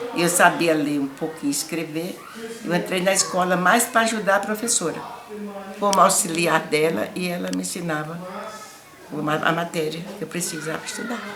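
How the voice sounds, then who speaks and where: The speech moves at a moderate pace, with audible room echo. Noticeable background noise runs underneath. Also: woman. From Brazil, Paraíba (Northeast). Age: 80s+. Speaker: elderly interviewee telling life story. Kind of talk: life story interview.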